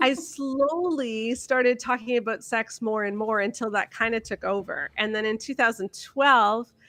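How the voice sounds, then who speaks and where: Against a quiet background, a woman with a Canadian accent speaks at a fairly high pitch in a bright, sharp tone, with ordinary pitch variation and a dry, close sound with no echo. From Canada. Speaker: author and blogger. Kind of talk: podcast interview.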